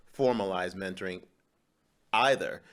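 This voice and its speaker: This man's voice has a bright, sharp tone. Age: 60s. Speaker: podcast host. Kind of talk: interview.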